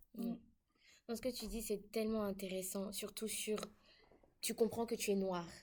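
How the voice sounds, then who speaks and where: A woman speaks in a fairly high pitch with monotone, flat intonation. Her speech has long, frequent pauses. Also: fairly slow pace. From Côte d'Ivoire. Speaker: international student. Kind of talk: casual chat.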